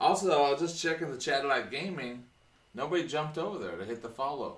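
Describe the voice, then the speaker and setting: In a room with audible echo, a man with an American accent and a fairly high pitch talks at a very fast pace with lively intonation. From Oregon. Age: 30s. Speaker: educator and coach. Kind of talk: casual chat. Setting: live stream.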